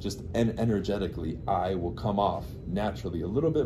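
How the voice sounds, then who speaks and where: The speaker moves at a fairly quick pace with lively intonation. Room echo is audible. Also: man. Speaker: real estate agent. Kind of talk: casual interview chat. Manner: loud.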